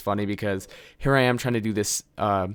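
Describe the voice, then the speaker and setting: A man speaks quietly at a fairly low pitch on a very clean recording with a silent background. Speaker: gaming youtuber. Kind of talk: gameplay commentary. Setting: home recording. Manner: slight stutter.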